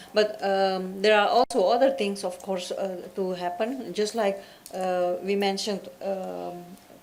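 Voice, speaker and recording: With a non-native accent, a woman speaks fairly slowly at a medium pitch and with fairly even intonation, amid audible room echo and noticeable background noise. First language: Dutch. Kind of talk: panel discussion. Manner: halting, searching for words.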